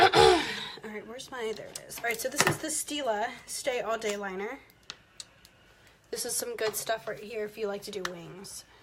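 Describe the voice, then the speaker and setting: There is noticeable noise in the background. Over it, a woman speaks in a fairly high voice. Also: ordinary pitch variation, moderate pace. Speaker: makeup vlogger. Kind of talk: live makeup tutorial. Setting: livestream.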